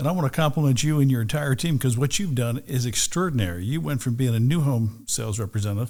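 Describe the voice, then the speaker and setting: This man talks at a very fast pace. His medium-pitched voice has lively intonation. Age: 60s. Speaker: real estate broker and team leader. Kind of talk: podcast interview. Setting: studio.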